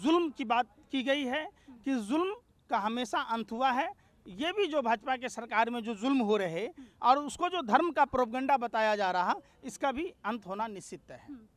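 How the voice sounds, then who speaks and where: A man with lively intonation at a moderate pace, dry sound with no echo. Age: 40s. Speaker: political commentator. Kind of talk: political interview. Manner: animated. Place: garden. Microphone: handheld.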